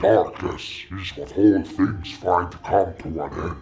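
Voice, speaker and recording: A man uses a put-on character voice with very deep, low pitch at a fairly slow pace. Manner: snarling.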